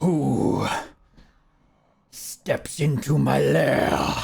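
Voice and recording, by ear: A man uses a raspy, put-on character voice.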